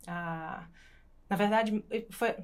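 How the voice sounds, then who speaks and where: A woman at a medium pitch is heard in a very clean recording with a silent background. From Brazil, Natal (Rio Grande do Norte). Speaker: physiotherapist and PhD researcher. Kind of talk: casual panel discussion.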